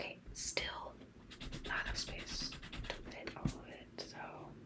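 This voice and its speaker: Noticeable background noise is present throughout. A woman whispers very slowly. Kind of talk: ASMR journaling video, casual talk to camera. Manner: soft, rambling.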